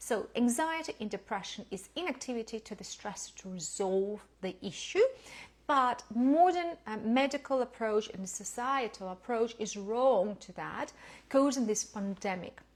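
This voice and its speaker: A woman with a non-native accent and a fairly high pitch, at a fairly slow pace, with lively intonation and big swings in loudness. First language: not English. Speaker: lifestyle educator. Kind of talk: lecture. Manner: halting.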